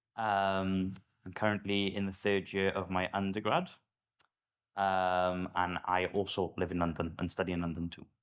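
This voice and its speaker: A man speaks with a Welsh accent in a very deep, low pitch and a monotone, flat intonation. His pace is moderate, broken by long, frequent pauses. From Wales. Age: 20s. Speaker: university student. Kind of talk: casual podcast chat.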